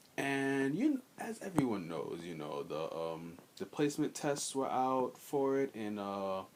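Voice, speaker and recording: This quiet voice moves through very wide pitch swings with hardly any pauses. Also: man, medium pitch for a man, fairly slow pace. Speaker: gaming video creator. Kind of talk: casual vlog commentary. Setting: storage room at home. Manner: halting, many fillers.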